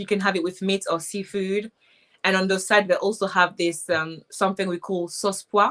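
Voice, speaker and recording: A woman speaks with a Haitian accent at a moderate pace. Her intonation is monotone and flat. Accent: Haitian Creole. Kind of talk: interview answer.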